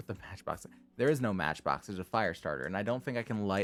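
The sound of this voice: The pitch varies in an ordinary way as an unforced reading voice reads on.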